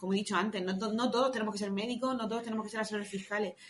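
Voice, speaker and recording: A woman with a fairly high pitch and fairly even intonation speaks in an ordinary speaking voice. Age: 30s. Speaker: tax advisor. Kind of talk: podcast interview.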